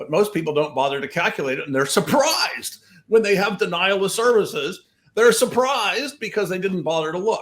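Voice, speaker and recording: Here a man talks at a fairly quick pace in a high pitch. His tone is animated, with very wide pitch swings. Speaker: cybersecurity researcher. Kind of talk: interview. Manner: fast.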